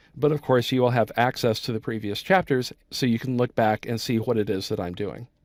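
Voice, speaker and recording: In a very clean recording with a silent background, a man with an American accent talks at a moderate pace. The sound is dry and close with no echo, and his pitch is medium. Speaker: software instructor. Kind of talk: tutorial.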